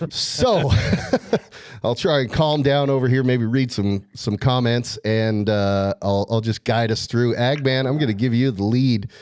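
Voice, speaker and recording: Against noticeable background noise, a man at medium pitch speaks at a fairly slow pace with very even loudness. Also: ordinary pitch variation. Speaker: sports podcast host. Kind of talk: casual sports podcast chat.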